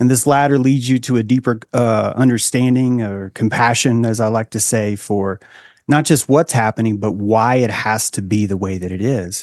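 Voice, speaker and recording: A man speaks in a plain, everyday voice at a moderate pace with fairly even intonation, recorded with a dry, close sound, no echo and a quiet background. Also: medium pitch for a man. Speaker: author and philosopher.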